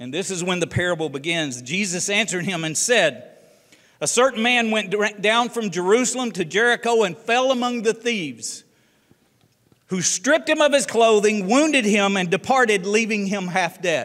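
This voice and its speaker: A man speaks with a Southern US accent and lively intonation. The background is quiet. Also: moderate pace. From US South, Tennessee. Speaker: ministry leader and guest speaker; guest. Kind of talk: sermon. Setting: church. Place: church.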